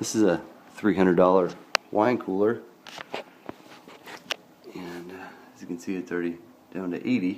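A man speaks at a fairly slow pace in a very deep, low voice, his intonation fairly even, with light background noise. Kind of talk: tutorial. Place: home room. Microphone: phone near.

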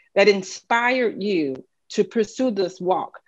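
A woman with a Southern US accent speaks with ordinary pitch variation against a quiet background. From US South. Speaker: political strategist and moderator. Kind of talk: interview. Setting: video call. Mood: warm, engaged. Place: home room. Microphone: webcam.

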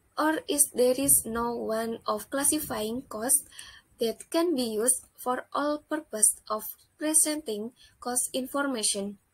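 A woman speaks in an Indonesian accent with a high voice. Her pace is fairly slow. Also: ordinary pitch variation. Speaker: accounting student. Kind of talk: student project presentation.

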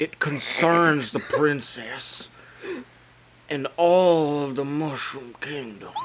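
A man puts on a character voice, pitched fairly high, and speaks at a very slow pace. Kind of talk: comic amateur video game dub. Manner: solemn, pleading.

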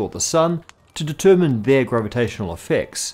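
A man at a very fast pace with lively intonation. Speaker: science show host. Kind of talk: educational explainer.

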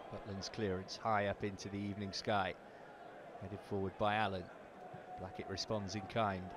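A man with a British accent speaks animatedly at a moderate pace and fairly low pitch, leaving long, frequent pauses. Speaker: match commentator. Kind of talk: live football commentary, voiced over highlights. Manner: animated, rising with excitement at goals.

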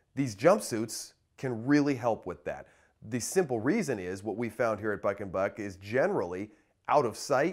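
Lively in intonation, a man talks at a moderate pace. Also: quiet background. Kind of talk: product presentation. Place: studio. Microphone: lapel.

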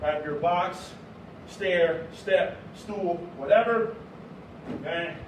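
Ordinary pitch variation comes through amid noticeable background noise and audible room echo. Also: man. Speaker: fitness instructor. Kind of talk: workout instruction. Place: gym. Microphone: camera far.

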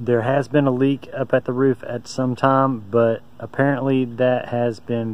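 The sound is dry with no echo as a man speaks at a fairly slow pace in a monotone, flat way. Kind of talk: casual vlog chat. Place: open country. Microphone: phone near.

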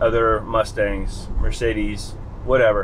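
Light background noise sits behind this recording. A man speaks at a fairly slow pace. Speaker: car owner vlogger. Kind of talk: casual vlog chat. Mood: cheerful, relaxed. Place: car. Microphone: phone near.

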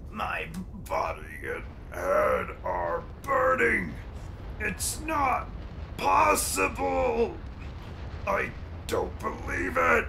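A put-on character voice moves at a very slow pace with long, frequent pauses over loud background noise. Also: man. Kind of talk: comic villain overacting. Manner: raging, menacing, then despairing.

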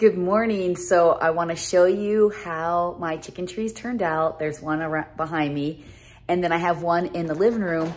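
At a moderate pace, a woman speaks in a normal speaking voice with a fairly low pitch and fairly even intonation. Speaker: vlogger. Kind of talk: casual vlog chat. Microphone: phone near.

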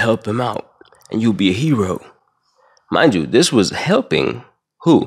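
Against a quiet background, a man talks at a moderate pace with very wide pitch swings and vocal fry. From Saudi Arabia. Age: 20s. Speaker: YouTube commentator. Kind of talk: casual opinionated rant. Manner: animated, profane. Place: home room. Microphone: studio mic.

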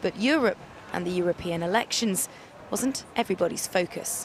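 A woman's fairly low voice, ordinary pitch variation, moderate pace

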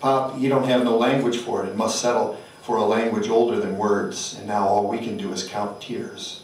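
A man with a gravelly, intense voice speaks at a medium pitch with fairly even intonation and hardly any pauses. Audible room echo and light background noise are present. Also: moderate pace. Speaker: poet. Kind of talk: poetry reading. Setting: stage with audience. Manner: intense, incantatory, rhythmic; emphatic, gritty delivery. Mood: solemn, measured. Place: hall.

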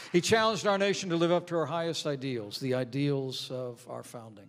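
Light background noise sits behind the recording. A man speaks at a moderate pace. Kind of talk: formal speech. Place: church. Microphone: podium.

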